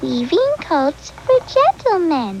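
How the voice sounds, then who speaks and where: Against clear background noise, a woman puts on a squeaky character voice at an extremely high pitch. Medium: comedy sketch. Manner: small, wary, firm.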